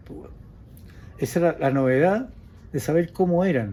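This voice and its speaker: With a Chilean accent, a man is talking. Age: 70s. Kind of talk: casual reminiscing interview.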